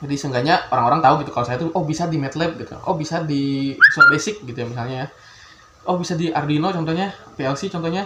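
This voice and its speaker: A man with a slight Sundanese accent talks at a very fast pace with ordinary pitch variation. Noticeable background noise is present. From Bandung, West Java, Indonesia. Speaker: youtuber, electrical engineering graduate. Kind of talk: casual vlog introduction. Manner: hesitant, many fillers.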